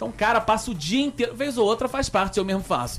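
Very fast speech over music in the background. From Rio de Janeiro, Brazil. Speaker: radio talk show host. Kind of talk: casual interview. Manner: animated.

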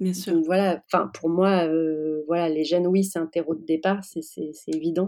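A woman with a dark, mellow tone and a fairly low pitch speaks at a fairly slow pace in a monotone, flat manner. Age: 30s. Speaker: interview guest sharing fertility journey. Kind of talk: testimony. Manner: hesitant, many fillers.

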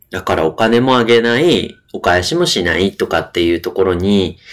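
Lively intonation runs through a man's unremarkable speaking voice. He talks at a moderate pace. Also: very clean recording, silent background. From Sasebo, Nagasaki, Japan. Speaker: podcast co-host. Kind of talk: casual chat.

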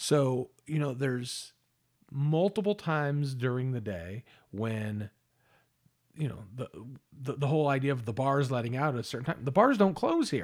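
A man with an American accent speaks at a moderate pace in a medium pitch, his intonation lively and broken by long, frequent pauses, on a very clean recording with a silent background. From Los Angeles area. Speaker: podcast co-host. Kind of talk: casual chat.

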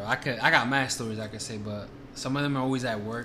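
The speaker has an American accent and talks very fast. The intonation stays fairly even. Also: man. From Washington Heights, New York. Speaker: guest filling in as co-host. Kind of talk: casual banter.

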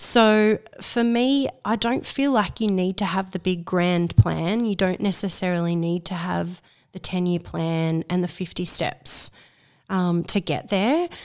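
Speaking in an Australian accent, a woman talks at a fairly slow pace and medium pitch with ordinary pitch variation. The recording is very clean, with a silent background. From Australia, Central Coast of New South Wales. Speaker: community organiser for women. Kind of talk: casual interview. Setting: at a kitchen table at home.

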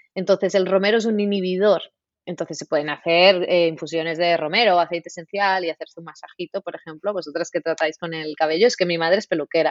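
A woman speaks at a very fast pace. Her pitch is fairly low and her intonation fairly even. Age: 30s. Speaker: naturopath and nutritionist. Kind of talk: interview.

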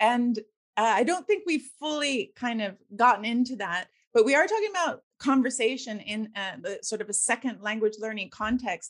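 A woman with a Canadian accent has a plain, everyday voice, fairly high in pitch, moving at a moderate pace with lively intonation. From Victoria, Canada. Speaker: podcast host. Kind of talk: interview conversation.

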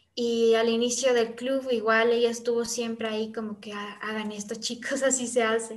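A woman talks in a monotone, flat way with hardly any pauses, amid audible room echo and noticeable background noise. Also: fairly high pitch for a woman, moderate pace. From Ecuador, Quito. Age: young. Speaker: youth service club member. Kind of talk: casual interview chat.

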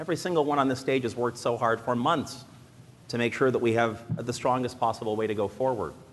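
Talking at a very fast pace with a Canadian accent, a man uses a medium pitch and ordinary pitch variation amid noticeable background noise. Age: 40s. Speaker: political candidate. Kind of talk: political debate. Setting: stage with audience.

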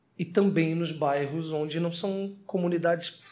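This man speaks at a fairly high pitch. His voice is somewhat breathy. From Florianópolis, southern Brazil. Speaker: TV presenter and rapper. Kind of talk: podcast interview. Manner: animated.

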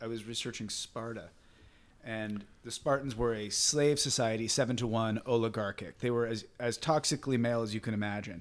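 A man with a plain, everyday voice speaks at a medium pitch and a fairly quick pace. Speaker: interviewer. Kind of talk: interview conversation.

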